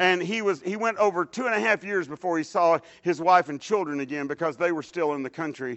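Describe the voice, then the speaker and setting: A man with a Texan accent talks at a fairly quick pace and a high pitch. He takes hardly any pauses. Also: ordinary pitch variation. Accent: Texan Southern US. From Dallas, Texas. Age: 60s. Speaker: lay preacher. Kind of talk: sermon. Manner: halting.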